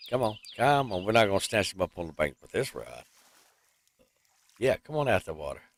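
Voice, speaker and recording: A man's medium-pitched voice with lively intonation and vocal fry, long frequent pauses, and a dry, close sound without echo. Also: fairly quick pace, big swings in loudness. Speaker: gaming streamer. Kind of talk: live gameplay commentary. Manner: animated.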